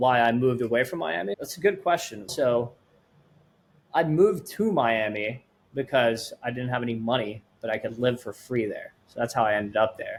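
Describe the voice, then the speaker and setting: Speaking at medium pitch with lively intonation, a man has a slight Swedish accent. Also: moderate pace. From Sweden. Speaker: startup founder. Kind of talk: podcast interview.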